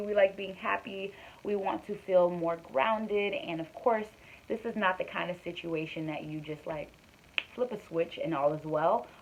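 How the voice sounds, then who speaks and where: Against noticeable background noise, a woman speaks with lively intonation and big swings in loudness. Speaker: vlogger. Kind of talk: personal vlog, casual talk to camera. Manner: fast; hesitant, many fillers. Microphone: recorded on phone.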